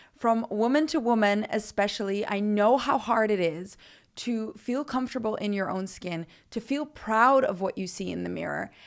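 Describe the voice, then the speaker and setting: On a very clean recording with a silent background, a woman with an American accent speaks at a moderate pace, her fairly high pitch moving with ordinary variation. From Netherlands, raised abroad (Philippines, Africa). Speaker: fitness podcaster, nutritionist and personal trainer. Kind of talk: personal story podcast monologue.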